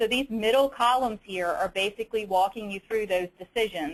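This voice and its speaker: With a Southern US accent, this voice moves at a fairly quick pace with ordinary pitch variation. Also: woman. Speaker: state auditor, peer review committee member. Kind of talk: webinar presentation. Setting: webinar. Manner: many fillers and repetitions.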